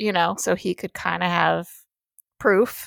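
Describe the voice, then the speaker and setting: A woman with an unremarkable speaking voice and a medium pitch talks at a moderate pace, dry and close with no echo, on a very clean recording over a silent background. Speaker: podcast host. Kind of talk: casual chat.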